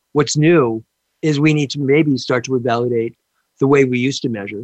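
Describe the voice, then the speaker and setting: Here a man with an ordinary speaking voice talks at a moderate pace. His pitch is fairly high, with ordinary variation. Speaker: talk show host. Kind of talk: interview. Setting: live radio show, remote.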